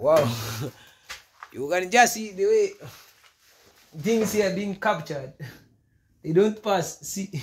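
A man's high-pitched voice in a Kenyan accent, at a fairly slow pace with long, frequent pauses and ordinary pitch variation. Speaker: vlogger. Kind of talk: casual vlog. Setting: outdoors. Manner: animated, excitable.

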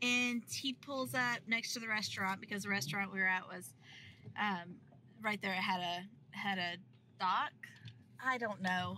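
Bright, sharp tone at a moderate pace with ordinary pitch variation, dry with no echo, over light background noise. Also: woman. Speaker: sailing vlogger. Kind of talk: casual vlog chat. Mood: amused, chatty. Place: car. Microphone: phone near.

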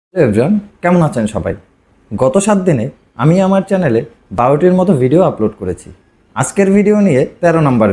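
Here a man speaks in a high pitch with a dark, mellow tone and very wide pitch swings. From West Bengal, Kolkata. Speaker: YouTuber and digital marketer. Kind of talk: tutorial vlog.

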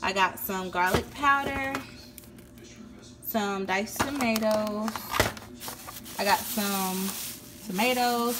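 Against faint background noise, a woman speaks slowly at a medium pitch. She leaves long, frequent pauses. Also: fairly bright tone.

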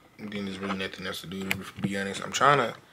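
Through loud background noise, a man speaks at a fairly quick pace. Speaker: vlogger. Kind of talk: casual vlog chat. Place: home room. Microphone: phone near.

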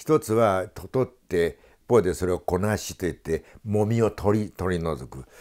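Lively intonation marks a man's fairly low voice at a moderate pace, in a very clean recording with a silent background. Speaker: local studies scholar. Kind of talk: radio talk show conversation.

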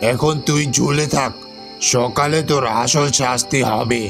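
A man puts on a cartoonish character voice at a medium pitch and a fairly slow pace. Clear music plays in the background. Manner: gruff, angry.

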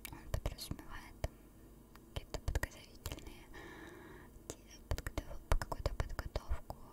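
Whispering at a fairly slow pace, a woman takes long, frequent pauses. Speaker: ASMR creator. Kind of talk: ASMR chat. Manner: whispered. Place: home room. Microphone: studio mic.

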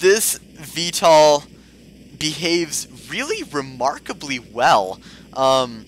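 A man speaks at a very slow pace with a fairly high pitch. Noticeable background noise sits behind him. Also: lively intonation. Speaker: gaming YouTuber. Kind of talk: gameplay commentary. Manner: put-on voice.

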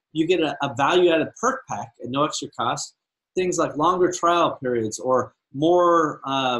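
Here is a man with a normal speaking voice. He talks at a moderate pace with ordinary pitch variation. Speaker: podcast host and e-commerce entrepreneur. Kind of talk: solo podcast monologue. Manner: casual, filler-heavy.

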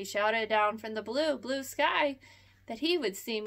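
The pitch shows ordinary variation during this plain reading aloud.

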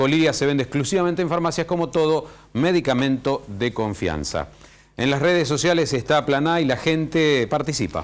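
The voice moves at a moderate pace with very even loudness and ordinary pitch variation. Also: man, fairly high pitch for a man. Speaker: TV host. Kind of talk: TV talk show. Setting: TV studio. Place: studio. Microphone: lapel.

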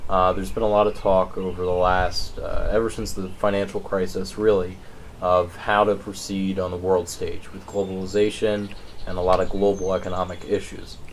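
With an American accent, a man talks at a moderate pace in a very deep, low pitch, his intonation monotone and flat over light background noise. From southern Pennsylvania. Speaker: newspaper interviewer. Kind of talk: interview. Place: garden.

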